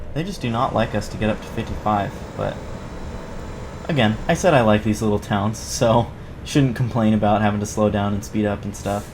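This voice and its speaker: Fairly quick speech broken by long, frequent pauses, with audible room echo and noticeable background noise. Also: man. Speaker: gaming YouTuber. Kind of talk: gameplay commentary. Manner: halting, stuttering, many fillers.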